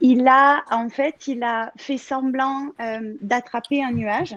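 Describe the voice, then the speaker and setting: A woman speaks in a Marseille accent. Her pitch is high. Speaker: contributing author. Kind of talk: casual chat. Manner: halting.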